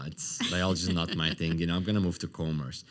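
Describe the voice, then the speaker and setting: A man with a very deep, low pitch speaks at a very fast pace in a monotone, flat intonation. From Lebanon. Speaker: entrepreneur. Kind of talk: interview.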